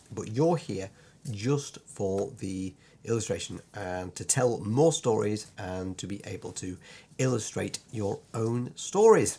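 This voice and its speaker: A very slow-paced man with a British accent, ordinary pitch variation and big swings in loudness. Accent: British, sometimes Lancashire. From Lancashire, northern England. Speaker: illustrator and part-time vicar. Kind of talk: online course introduction. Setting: home drawing room, recorded video. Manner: hesitant, many fillers; quirky, sometimes puts on voices.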